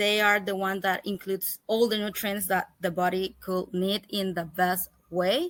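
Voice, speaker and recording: Speaking in a Spanish accent at a fairly slow pace with hardly any pauses, the voice stays monotone and flat in a very clean recording with a silent background. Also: woman, medium pitch for a woman. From El Salvador. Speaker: holistic pet health coach. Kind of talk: interview. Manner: halting, with self-corrections.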